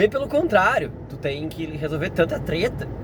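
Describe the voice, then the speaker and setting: A man speaks at a high pitch and a moderate pace. Noticeable background noise runs underneath. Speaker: science teacher. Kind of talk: casual vlog monologue. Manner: halting, with frequent fillers and restarts.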